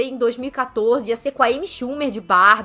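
A woman's high-pitched voice, bright and sharp in tone, at a moderate pace. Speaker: film critic. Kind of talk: casual chat.

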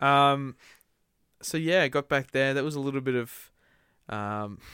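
In an Australian accent, the speaker uses lively intonation, the sound dry and close with no echo. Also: man, very clean recording, silent background. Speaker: podcast co-host and band musician. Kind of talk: casual chat. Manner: animated.

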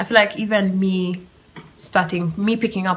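A woman's fairly even intonation and moderate pace come through over noticeable background noise. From Kenya. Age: 20s. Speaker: podcast host. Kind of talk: solo monologue. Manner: casual, laughing often.

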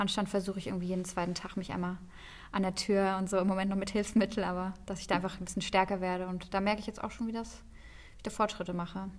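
The intonation is monotone and flat. The pace is very fast. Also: woman, medium pitch for a woman. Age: 30s. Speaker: editor. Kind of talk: casual chat.

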